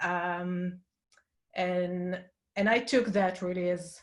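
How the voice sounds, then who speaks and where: This woman has a fairly low pitch, an Israeli accent, and fairly even intonation. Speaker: design industry leader. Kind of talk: panel discussion. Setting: webinar video call. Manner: halting.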